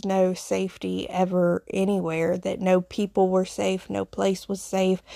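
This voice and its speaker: Recorded very cleanly over a silent background with a dry, close sound and no echo, a woman with a Southern US accent speaks in a medium pitch with a dark, mellow tone. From Appalachian foothills, US South. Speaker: podcast host, nurse, witch. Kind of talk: solo podcast monologue, personal storytelling. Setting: solo recording. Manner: conversational, reflective, with fillers.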